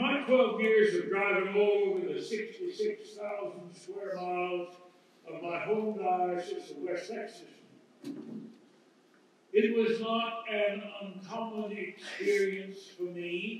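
A man's high voice at a very slow pace, ordinary pitch variation, strong room echo and light background noise. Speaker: bishop preaching. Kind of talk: sermon. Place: hall.

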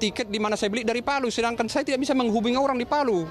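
A man talks with ordinary pitch variation. There is light background noise, and the sound is dry with no echo. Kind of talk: interview answer. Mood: worried, complaining. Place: station. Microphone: handheld.

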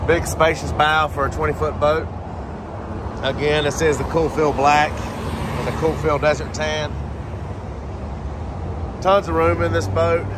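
There are long, frequent pauses as a man talks at a fairly slow pace. Noticeable background noise is present, and the sound is dry with no echo. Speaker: boat salesperson. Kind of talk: product walkaround tour. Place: street. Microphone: phone near.

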